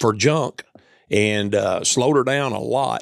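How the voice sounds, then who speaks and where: A man in a Southern US accent at a medium pitch with ordinary pitch variation, in a dry, close sound with no echo. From US South, Tennessee. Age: 60s. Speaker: coonhound hunter. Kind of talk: casual chat. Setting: indoors at a hunting lodge.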